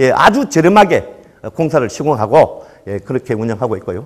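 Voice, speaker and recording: This man speaks with a Gyeongsang accent. His pace is very fast. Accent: Gyeongsang dialect, noticeable. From Gyeongsang region, Korea. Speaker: solar company sales manager. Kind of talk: lecture. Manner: hesitant fillers, conversational.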